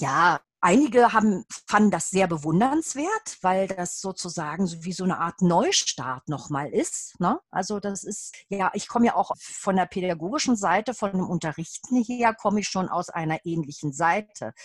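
A normal speaking voice with lively intonation and hardly any pauses. The sound is dry and close, with no echo. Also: woman, medium pitch for a woman, moderate pace. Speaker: Feldenkrais trainee and adult educator. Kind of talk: casual interview.

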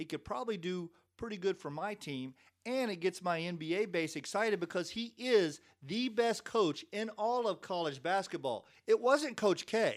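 In a Kentucky accent, a man speaks at a high pitch and a moderate pace, his intonation lively. The recording is very clean, with a silent background. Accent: Kentucky Southern US. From Lexington, Kentucky. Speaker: former sports information director. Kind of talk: casual interview storytelling.

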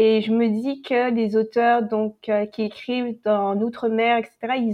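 Her voice is fairly high, and this woman speaks with monotone, flat intonation. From French Caribbean (Antilles). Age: 20s. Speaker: novelist. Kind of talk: casual roundtable discussion.

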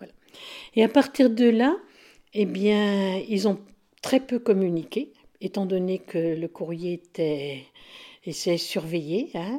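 A woman speaks at a very slow pace with long, frequent pauses. Her medium pitch has ordinary variation and a dark, mellow tone. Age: 70s. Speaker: interviewee. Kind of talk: life story interview. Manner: calm, measured.

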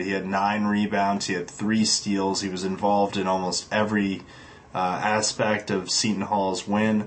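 A man talks at a moderate pace in a normal speaking voice, fairly low in pitch and fairly even in intonation. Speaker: podcast co-host. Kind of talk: casual sports podcast chat.

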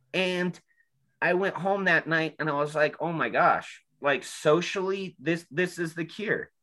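Against a quiet background, a high-pitched man with an American accent speaks very slowly. His tone is bright and sharp, with fairly even intonation. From Utah, Salt Lake area. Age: 30s. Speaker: person in addiction recovery. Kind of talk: personal testimony. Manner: hesitant, many filler ums.

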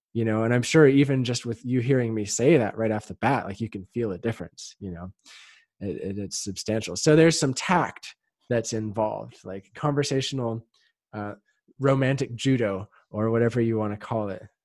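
This man has an ordinary speaking voice at medium pitch, with ordinary pitch variation and a moderate pace. His loudness swings widely, and the sound is dry and close with no echo. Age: 30s. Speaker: sex coach. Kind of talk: casual chat.

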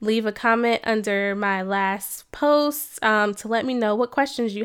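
The recording is very clean, with a silent background. A woman speaks at a fairly high pitch and a moderate pace, with ordinary pitch variation. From New Jersey. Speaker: licensed counselor and podcast host. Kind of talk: scripted podcast introduction.

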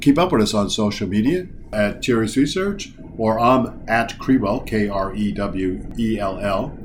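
Against audible room echo, a man speaks at a fairly slow pace with fairly low pitch and ordinary pitch variation.

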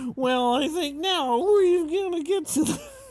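A put-on character voice, high in pitch, goes at a moderate pace over light background noise. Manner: jovial, hammy.

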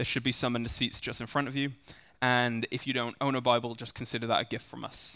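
Very fast speech comes from a man with an English accent and a medium pitch. His tone is bright and sharp on a very clean recording with a silent background. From England. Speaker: scripture reader at church service. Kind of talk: scripture reading aloud. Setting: church.

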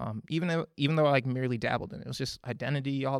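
This man speaks in an American accent at a medium pitch, and his pitch varies in an ordinary way. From Minnesota. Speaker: church member sharing testimony. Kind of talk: testimony. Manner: casual, filler-heavy.

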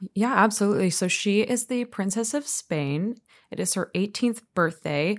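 A woman speaks in a plain, everyday voice at a medium pitch, recorded very cleanly against a silent background. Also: lively intonation, moderate pace. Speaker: opera singer. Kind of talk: casual interview chat.

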